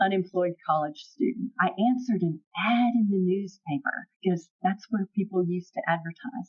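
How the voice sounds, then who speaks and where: A woman with a Southern US accent speaks in a somewhat breathy voice with ordinary pitch variation. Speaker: property management executive. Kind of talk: podcast interview.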